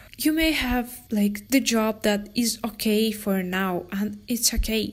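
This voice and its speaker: Somewhat breathy and fairly high-pitched, a woman speaks with ordinary pitch variation. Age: 20s. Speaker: podcast host and photographer. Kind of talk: casual solo talk. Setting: room near the jungle.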